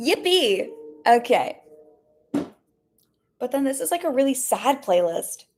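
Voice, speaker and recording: With music in the background, a woman speaks at a fairly slow pace and a high pitch, with very wide pitch swings and long, frequent pauses. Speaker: streamer. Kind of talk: casual chat.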